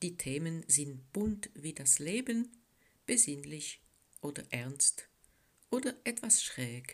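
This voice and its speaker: A woman speaks very slowly in a very deep, low voice with a French Swiss accent, her pitch swinging very widely. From French-speaking Switzerland. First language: French (speaking German). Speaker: poet. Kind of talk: poetry reading.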